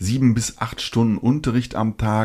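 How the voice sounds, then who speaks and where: A man has an ordinary speaking voice with a medium pitch and fairly even intonation, at a moderate pace. The recording is very clean, with a silent background. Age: 40s. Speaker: anime podcast co-host. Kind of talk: casual chat.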